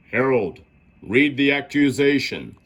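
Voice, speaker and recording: Using a put-on character voice, a man speaks at a medium pitch with ordinary pitch variation. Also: fairly slow pace. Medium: read story. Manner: pompous, commanding.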